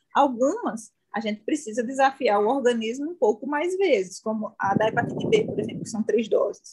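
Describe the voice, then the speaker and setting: With a northeastern Brazilian accent, the speaker talks at a moderate pace with lively intonation and hardly any pauses. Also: woman, high pitch for a woman. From Northeast Brazil, João Pessoa. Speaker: infectious disease doctor. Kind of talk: interview.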